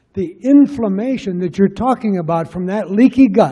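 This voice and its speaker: His voice high-pitched, a man speaks with lively intonation. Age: 70s. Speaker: doctor in audience. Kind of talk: audience comment. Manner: energetic.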